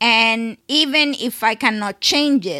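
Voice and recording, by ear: Speaking slowly, a woman has a fairly high pitch, lively intonation and a bright, sharp tone.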